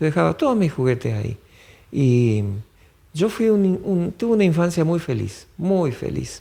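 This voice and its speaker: This man's voice sits high in pitch, with a dark, mellow tone. He speaks at a fairly slow pace, and his pitch swings very widely. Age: 60s. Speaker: interviewee, local elder. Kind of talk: oral history interview. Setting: podcast interview. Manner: hesitant, with fillers.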